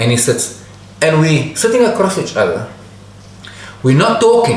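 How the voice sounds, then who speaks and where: A man's fairly high voice at a moderate pace, full of very wide pitch swings, with audible room echo and noticeable background noise. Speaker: storyteller, channel host. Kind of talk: personal anecdote storytelling.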